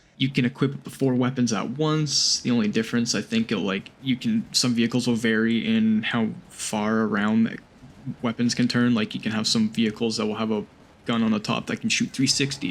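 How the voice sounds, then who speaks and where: This man talks at a fairly quick pace. His intonation stays fairly even. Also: medium pitch for a man. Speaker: gaming youtuber. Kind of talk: game review commentary. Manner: casual.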